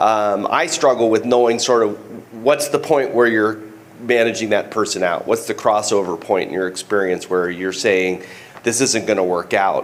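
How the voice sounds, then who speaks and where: Noticeable background noise runs beneath a man speaking at a medium pitch. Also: ordinary pitch variation, moderate pace. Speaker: youth football coach asking a question. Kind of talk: audience question at panel. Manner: halting.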